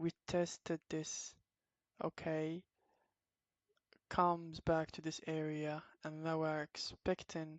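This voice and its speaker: In a very deep, low pitch, a woman speaks with a non-native accent and monotone, flat intonation. Her pace is very slow, with long, frequent pauses. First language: not English. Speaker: trading educator. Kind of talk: tutorial. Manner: halting, many fillers.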